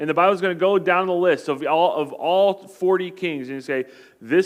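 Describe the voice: Someone doing a plain reading aloud.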